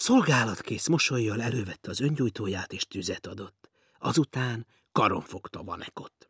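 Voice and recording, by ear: A quiet setting, with someone reading aloud in a natural voice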